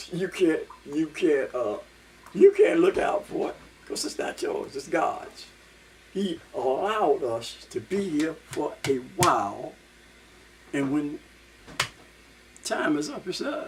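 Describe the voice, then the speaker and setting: Noticeable background noise sits behind a man's voice. He talks at a very slow pace with long, frequent pauses. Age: 70s. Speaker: vlogger. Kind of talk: casual monologue. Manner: animated.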